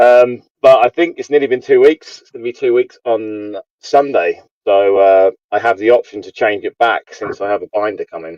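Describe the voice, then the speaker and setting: A man speaks at a moderate pace in an English accent, his loudness swinging widely. The sound is dry and close with no echo. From England. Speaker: YouTube trading card streamer. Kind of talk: casual chat.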